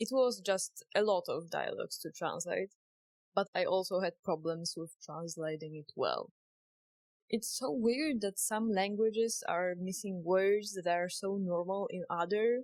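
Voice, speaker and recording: Dry, close sound with no echo frames a woman with a Polish accent. She talks at a fairly slow pace and medium pitch with ordinary pitch variation. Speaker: indie game developer. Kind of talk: vlog narration.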